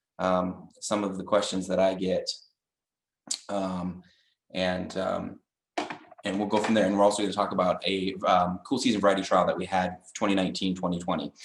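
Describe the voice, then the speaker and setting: A man talks at a moderate pace in a very deep, low pitch. His intonation is fairly even, broken by long, frequent pauses. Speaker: agricultural extension agent. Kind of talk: webinar presentation. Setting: video call. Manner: loud.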